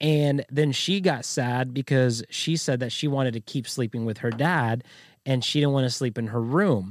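A man speaks with an unremarkable speaking voice at a medium pitch. His pace is moderate and his pitch variation ordinary. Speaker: podcast host. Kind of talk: casual chat.

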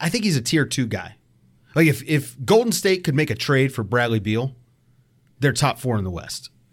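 A man with an American accent speaks at a medium pitch and a moderate pace, his intonation lively, in a very clean recording with a silent background. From Virginia, US (Richmond). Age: 30s. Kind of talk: casual chat. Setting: internet call.

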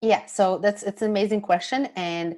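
At a moderate pace, a plain, everyday voice comes through in a very clean recording with a silent background. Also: woman. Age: 30s. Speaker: food freedom and pleasure coach. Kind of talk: casual interview chat.

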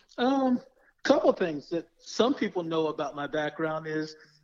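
A man with an American accent speaks in a high pitch with lively intonation. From Florida. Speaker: tech professional and sports fan. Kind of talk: podcast interview.

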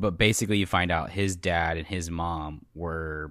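A very deep, low-pitched man's voice with ordinary pitch variation, in a very clean recording with a silent background. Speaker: podcast host. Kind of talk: casual chat. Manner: joking.

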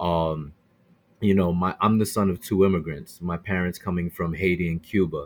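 A man's very deep, low voice with a New York accent, fairly even intonation and a moderate pace, on a very clean recording with a silent background. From New York City, Brooklyn. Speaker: bow hunter and podcaster. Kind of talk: casual interview.

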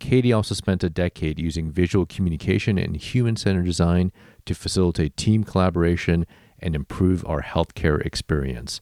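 In an American accent, a man with a very deep, low pitch and a dark, mellow tone talks at a fairly quick pace with ordinary pitch variation, in a dry, close sound with no echo on a very clean recording with a silent background. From Illinois, then Texas. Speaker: podcast host. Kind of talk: interview.

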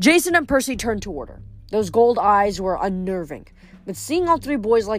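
The speaker reads aloud in a natural voice, with lively intonation.

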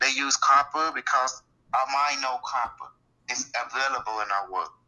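A man talks at a fairly slow pace. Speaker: metaphysics teacher. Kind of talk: interview.

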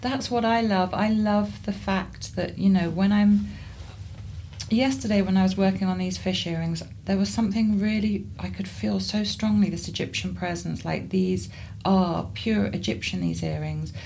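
A woman with a southern English accent at a moderate pace, with audible room echo. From southern England, Surrey. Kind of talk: interview conversation.

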